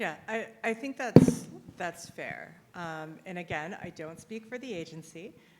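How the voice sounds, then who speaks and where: Speaking at a fairly slow pace with lively intonation, a woman at medium pitch swings widely in loudness over noticeable background noise. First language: not English (English is second written language). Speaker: compliance consultant. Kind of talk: conference Q&A. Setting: stage with audience.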